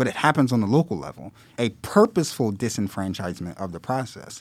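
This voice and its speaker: A normal speaking voice with an American accent, lively intonation and a fairly quick pace, on a very clean recording with a silent background. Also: man. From Philadelphia. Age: 30s. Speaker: community organizer and activist. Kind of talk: podcast interview.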